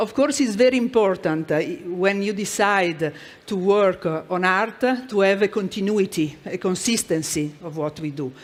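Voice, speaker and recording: This speaker talks at a moderate pace with an Italian accent. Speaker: corporate art and culture manager. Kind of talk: conference presentation. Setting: stage with audience. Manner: halting.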